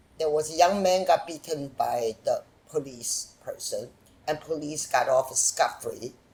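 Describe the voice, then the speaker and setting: A woman speaks with lively intonation and a fairly slow pace. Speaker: documentary filmmaker. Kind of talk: interview. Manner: animated.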